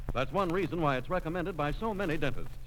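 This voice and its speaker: A normal speaking voice from a man, fairly high in pitch, with lively intonation. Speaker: announcer. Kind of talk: radio announcer reading sponsor ads and straight-man banter. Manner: formal, polished, warm salesman tone.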